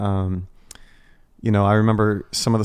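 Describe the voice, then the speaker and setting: Here is a man with a plain, everyday voice, pitched fairly low. He talks at a fairly quick pace in a very clean recording with a silent background. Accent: American. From United States. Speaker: pastor. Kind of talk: church podcast interview.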